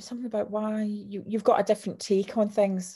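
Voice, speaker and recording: In a very clean recording with a silent background, a woman with a Scottish accent speaks in a dark, mellow tone that is somewhat breathy. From Scotland, Clydebank. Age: 50s. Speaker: author and sales coach. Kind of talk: interview. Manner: animated.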